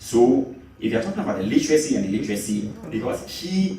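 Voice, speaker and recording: A man with a medium-pitched voice talks at a fairly quick pace. The room echoes audibly, and background noise is noticeable. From Ghana, Western Region. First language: Fante. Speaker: panel moderator. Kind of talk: panel discussion.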